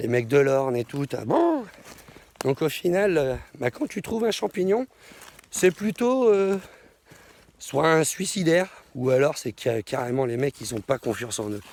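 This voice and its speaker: In a dry, close sound with no echo, a man speaks fairly slowly with long, frequent pauses, his fairly high voice making very wide pitch swings. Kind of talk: casual vlog monologue. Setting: outdoors in a forest.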